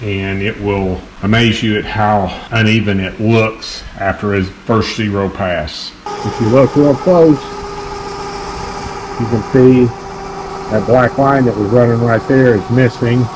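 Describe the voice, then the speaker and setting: Amid noticeable background noise, a man speaks with long, frequent pauses and ordinary pitch variation. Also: fairly slow pace. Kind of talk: tutorial. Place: workshop. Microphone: phone near.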